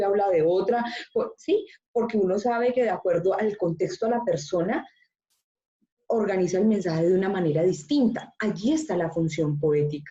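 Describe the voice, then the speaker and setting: A woman with a dark, mellow tone and a somewhat breathy quality talks at a moderate pace, her pitch varying in an ordinary way. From Colombia, Antioquia (paisa region). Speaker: university teacher. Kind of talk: online class discussion.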